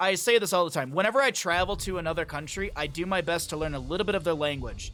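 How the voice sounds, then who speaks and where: A man with an American accent in a raised, projected voice, talking at a very fast pace over noticeable background noise. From Canada. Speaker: esports commentator. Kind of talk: live commentary mixed with casual chat. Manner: fast, rambling with repetitions.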